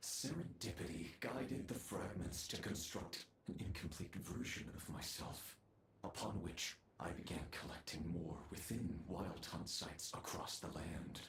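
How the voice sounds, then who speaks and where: A man puts on a character voice with very deep, low pitch and a menacing tone. He speaks at a moderate pace with slight echo. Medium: video game. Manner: grandiose, menacing.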